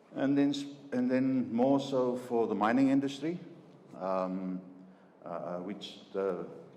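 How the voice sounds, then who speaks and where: A man with a South African accent talks at a fairly slow pace amid noticeable background noise and audible room echo. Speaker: chemical engineer. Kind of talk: business presentation. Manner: halting, many fillers and repetitions.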